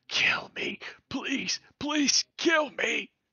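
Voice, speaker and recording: Someone whispers in a put-on character voice. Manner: pleading.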